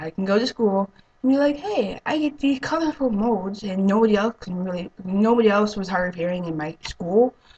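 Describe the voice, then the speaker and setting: Noticeable background noise sits behind a woman speaking at a fairly quick pace. Her medium-pitched voice has lively intonation. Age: 20s. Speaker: vlogger, hard of hearing. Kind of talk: casual vlog monologue. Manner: halting, many fillers.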